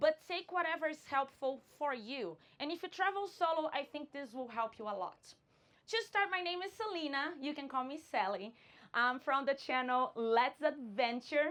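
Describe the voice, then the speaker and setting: A woman with a Brazilian Portuguese accent speaks at a moderate pace, her high-pitched voice carrying lively intonation. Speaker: vanlife content creator. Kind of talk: conference talk.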